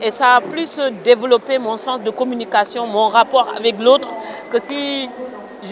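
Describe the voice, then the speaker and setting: Over noticeable background noise and audible room echo, a woman talks at a moderate pace in a high pitch with fairly even intonation. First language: a Senegalese mother tongue (speaking French). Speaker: writer. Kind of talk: interview. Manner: hesitant.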